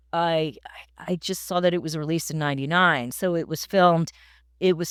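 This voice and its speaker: A woman with an American accent talks fairly quickly in a normal speaking voice, fairly low in pitch and with fairly even intonation. The sound is dry and close with no echo, on a very clean recording with a silent background. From New York (Queens). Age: 60s. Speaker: film director. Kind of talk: casual chat.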